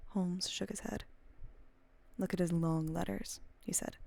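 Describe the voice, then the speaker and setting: Soft-spoken, a woman talks at a moderate pace. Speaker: ASMR streamer and audiobook reader. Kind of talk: audiobook reading of classic fiction, ASMR stream.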